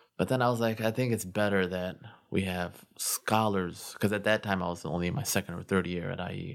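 On a very clean recording with a silent background, a man with a Chicago-area accent speaks at a fairly quick pace, fairly low in pitch, with fairly even intonation. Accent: Chicago-area American English. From Chicago suburbs, Illinois. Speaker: imam. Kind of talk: casual interview.

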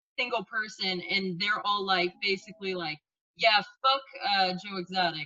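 A plain, everyday voice from a woman, medium in pitch, at a moderate pace with fairly even intonation. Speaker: friend on the show. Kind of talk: casual chat among friends.

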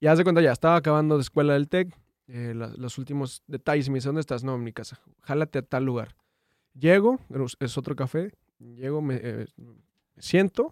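A man's fairly high voice, fairly quick yet broken by long, frequent pauses, with ordinary pitch variation, big swings in loudness, and a dry, close, echo-free sound on a very clean recording with a silent background. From Durango, Mexico. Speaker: viral internet personality. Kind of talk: casual chat. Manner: halting.

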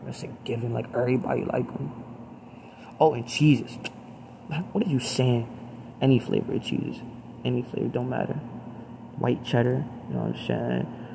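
Noticeable background noise sits behind a man speaking at a medium pitch with ordinary pitch variation. He keeps a moderate pace but leaves long, frequent pauses. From US, Baltimore. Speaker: solo vlogger. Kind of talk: personal monologue. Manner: halting.

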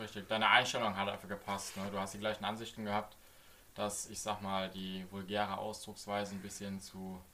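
A fairly low-pitched man speaks at a fairly quick pace in a monotone, flat intonation with a bright, sharp tone. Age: 20s. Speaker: podcast co-host, streamer. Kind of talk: casual chat.

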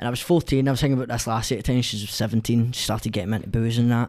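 A man with a Scottish accent speaks at a very fast pace and a medium pitch. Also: very clean recording, silent background. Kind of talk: casual chat.

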